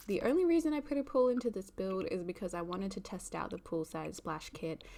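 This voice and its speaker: A woman's medium-pitched voice, dark and mellow in tone, at a very fast pace with very wide pitch swings. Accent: Australian. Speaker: gaming YouTuber. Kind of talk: gameplay commentary. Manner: casual, with many fillers.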